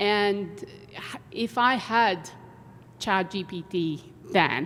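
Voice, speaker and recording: Speaking very slowly with a non-native accent, a woman shows ordinary pitch variation. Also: medium pitch for a woman, big swings in loudness. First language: not English. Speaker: engineering professor. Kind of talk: panel discussion.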